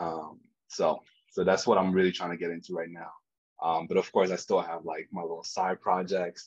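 Against a quiet background, a man with a very deep, low pitch speaks in a monotone, flat intonation. His loudness swings widely. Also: moderate pace. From Cameroon. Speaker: digital product designer; podcast guest. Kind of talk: casual interview. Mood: relaxed, smiling. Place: home room. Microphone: video call.

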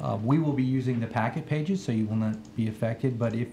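Ordinary pitch variation at a fairly quick pace, with light background noise. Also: man. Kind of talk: formal meeting presentation. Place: hall. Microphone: podium.

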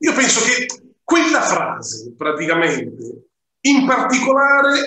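A man projects his voice in a raised tone, with very wide pitch swings. Room echo is audible, along with light background noise. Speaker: web show host. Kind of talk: interview. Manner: hesitant, many fillers. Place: home room. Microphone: video call.

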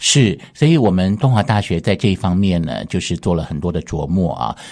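Over a quiet background, a man with a very deep, low pitch speaks at a fairly quick pace. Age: 50s. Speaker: university art professor. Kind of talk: radio interview. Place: studio.

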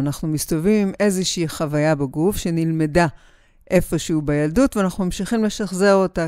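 A woman's fairly low-pitched voice with a dark, mellow tone, dry sound with no echo, and a quiet background. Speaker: body psychotherapist. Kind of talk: interview answer. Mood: calm, warm, reflective. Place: studio. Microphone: studio mic.

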